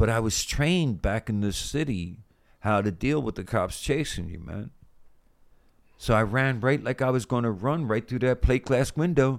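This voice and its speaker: An ordinary speaking voice from a man with an American accent, at a moderate pace with lively intonation, on a very clean recording with a silent background. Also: medium pitch for a man. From US, Philadelphia. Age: 60s. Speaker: death row exoneree. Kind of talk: testimony.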